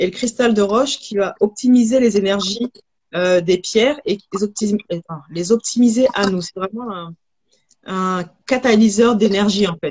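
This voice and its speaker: A woman at a medium pitch, somewhat breathy, with big swings in loudness and a fairly slow pace. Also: ordinary pitch variation. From Haiti. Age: 30s. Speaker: holistic hair therapist and entrepreneur. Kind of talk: live video interview. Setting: livestream.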